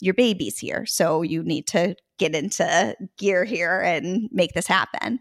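Heard with an ordinary speaking voice, a woman at medium pitch talks at a fairly slow pace, the sound dry and close with no echo on a very clean recording with a silent background. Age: 40s. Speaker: art studio founder and business owner. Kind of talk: casual interview chat.

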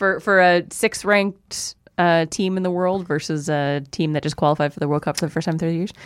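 In a Canadian accent, an unremarkable speaking voice moves at a fairly quick pace with hardly any pauses and fairly even intonation. The recording is very clean, with a silent background. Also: woman, fairly low pitch for a woman. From small-town Ontario, Canada. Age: 30s. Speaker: sports commentator guest. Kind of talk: casual chat. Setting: studio.

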